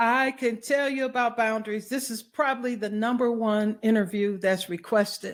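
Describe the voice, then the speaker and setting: Here a woman with a fairly high pitch and an ordinary speaking voice talks at a moderate pace with fairly even intonation. The recording is very clean, with a silent background. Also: hardly any pauses. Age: 60s. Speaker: wellness consultant and author. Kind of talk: interview.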